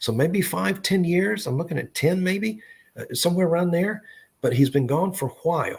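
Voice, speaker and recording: With a Southern accent, a man speaks at a moderate pace in a high voice. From US South, Tennessee (Memphis). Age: 60s. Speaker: psychic medium. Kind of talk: live psychic reading. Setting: live online stream. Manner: halting.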